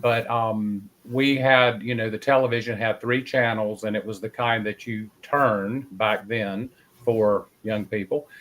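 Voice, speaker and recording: At a moderate pace, a man with a Southern US accent speaks at a medium pitch in a flat monotone. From North Carolina. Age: 60s. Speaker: paranormal investigator. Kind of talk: interview storytelling.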